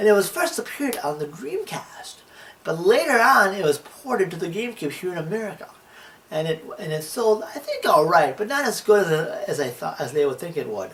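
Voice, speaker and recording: Noticeable background noise sits behind speech at a fairly quick pace. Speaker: video game reviewer. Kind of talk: scripted narration. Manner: stutter.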